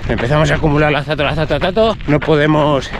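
Delivered at a moderate pace, the speech has a dry sound with no echo and noticeable background noise. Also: man. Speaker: running coach vlogger. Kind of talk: casual vlog chat explaining training. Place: open country. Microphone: phone near.

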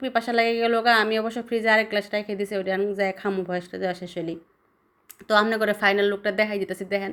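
This woman's voice sits at a medium pitch. She delivers her words in a flat, monotone way. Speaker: cooking vlogger. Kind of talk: cooking tutorial. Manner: casual, playful.

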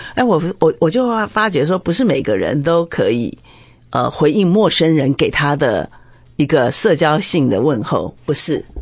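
Speaking in a Taiwanese accent, a woman with a very deep, low pitch talks at a fairly slow pace, with very wide pitch swings and very even loudness. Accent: Taiwanese Mandarin. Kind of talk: casual chat.

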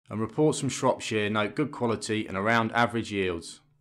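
A man with a British accent at medium pitch, fairly quick pace and ordinary pitch variation, on a very clean recording with a silent background. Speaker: news presenter. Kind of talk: formal newsreading of farming and harvest report. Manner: formal; measured, even, brisk delivery of figures.

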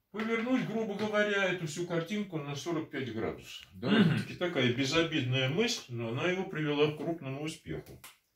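A man talks at a fairly quick pace with hardly any pauses, a high pitch and lively intonation, with audible room echo. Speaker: mathematician. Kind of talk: math lecture at a whiteboard. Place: home room. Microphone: camera far.

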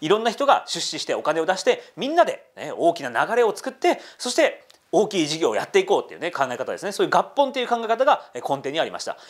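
Very fast pace from a man, with a quiet background. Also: hardly any pauses. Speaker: history YouTuber. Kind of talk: casual history explainer. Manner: animated. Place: studio.

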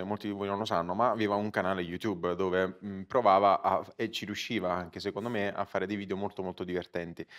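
The background stays quiet. Against it, a man talks with a fairly low pitch. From Italy. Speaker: comedian. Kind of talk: live podcast chat. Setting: stage with audience. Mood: relaxed, anecdotal, joking. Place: stage. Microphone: lapel.

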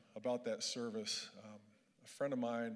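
A man talks at a moderate pace in a monotone, flat voice. The background is quiet. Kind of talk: speech. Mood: earnest, lightly humorous. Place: hall. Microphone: handheld.

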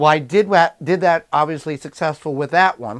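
The speaker holds a moderate pace with fairly even intonation. The background is quiet. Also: man. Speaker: home gardener host. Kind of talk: tutorial. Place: home room. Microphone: phone near.

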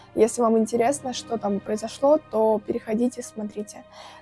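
Faint music sits behind a woman speaking at a moderate pace, her sound dry with no echo. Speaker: vlogger. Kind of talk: casual vlog storytelling. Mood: tense mystery story. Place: home room. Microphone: lapel.

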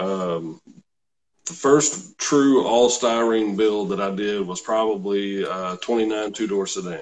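A man with an American accent, fairly low in pitch, at a very slow pace, with ordinary pitch variation. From Kentucky. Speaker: car salesman and RC scale model builder. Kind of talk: interview, casual chat. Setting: live video call. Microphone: video call.

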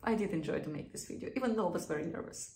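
A woman speaking at a fairly quick pace, with audible room echo. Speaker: beauty vlogger. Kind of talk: casual vlog chat. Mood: nervous but cheerful. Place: bathroom. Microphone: phone near.

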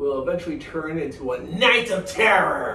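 Light background noise and audible room echo surround a man's speech. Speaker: animated film reviewer. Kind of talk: review commentary. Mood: cheerful, upbeat. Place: home room.

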